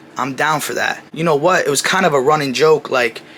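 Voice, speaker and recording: With noticeable background noise behind him, a fairly high-pitched man talks at a fairly quick pace and ordinary pitch variation. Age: 20s. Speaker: new YouTuber. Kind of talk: personal vlog monologue. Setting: talking to camera. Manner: casual, conversational.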